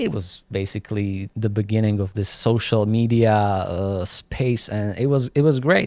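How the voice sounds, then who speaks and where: In a Slovak accent, a man with a fairly low pitch speaks at a fairly slow pace with ordinary pitch variation, the sound dry and close with no echo on a very clean recording with a silent background. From Slovakia. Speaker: graffiti artist and YouTuber. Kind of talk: casual interview chat. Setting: studio podcast in New York. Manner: halting, many fillers.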